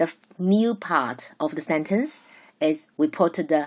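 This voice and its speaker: A woman with a Chinese accent, speaking at a very slow pace, with ordinary pitch variation. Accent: Mandarin Chinese accent in English. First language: Mandarin Chinese. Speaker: Mandarin teacher. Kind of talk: lecture. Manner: halting, with self-corrections.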